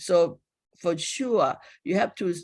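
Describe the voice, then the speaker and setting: The speaker has a Thai accent, heard on a very clean recording with a silent background. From Thailand. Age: 60s. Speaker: public health professor. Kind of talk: lecture. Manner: halting.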